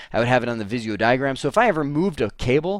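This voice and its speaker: Very fast and animated, a man speaks at medium pitch with lively intonation. The recording is very clean, the background silent. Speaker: IT trainer. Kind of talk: tutorial.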